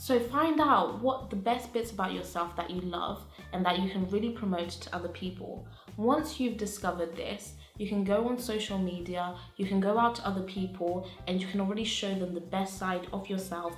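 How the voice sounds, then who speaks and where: With music in the background and audible room echo, a woman speaks at a medium pitch and moderate pace, her pitch varying in an ordinary way. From England (moved from Zimbabwe at 7-8). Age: 20s. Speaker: university student, personal branding vlogger. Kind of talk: informal talk to camera.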